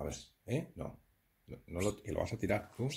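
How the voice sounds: Low-pitched male voice at a moderate pace, with vocal fry, ordinary pitch variation, a slightly mellow tone, and audible room echo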